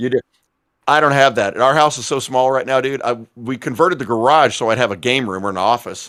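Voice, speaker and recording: A man talks fairly quickly in a normal speaking voice. His pitch is medium, with ordinary variation. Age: 50s. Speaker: podcast co-host and gamer. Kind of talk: casual live-stream chat.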